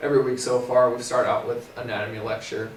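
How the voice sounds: A man talks at a medium pitch, with audible room echo around him.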